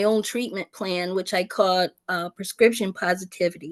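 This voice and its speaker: Against a quiet background, a woman with an American accent talks at a moderate pace in a plain, everyday voice, her intonation fairly even. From United States. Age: 60s. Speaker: peer support specialist. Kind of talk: testimony.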